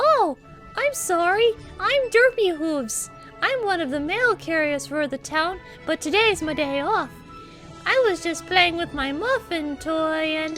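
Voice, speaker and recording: Putting on a character voice, a woman speaks at a fairly slow pace in an extremely high pitch with very wide pitch swings, while clear music plays in the background. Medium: audio drama. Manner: cheerful, giggly.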